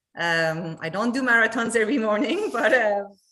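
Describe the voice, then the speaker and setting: A woman with a Quebec accent speaks amid audible room echo. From Montreal, Quebec. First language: French. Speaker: company chief operating officer. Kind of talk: livestream company interview.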